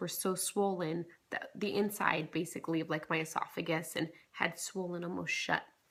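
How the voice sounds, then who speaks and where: A quiet voice speaks in a flat, monotone way. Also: woman. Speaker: vlogger. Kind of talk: casual vlog. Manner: quiet, holding back volume.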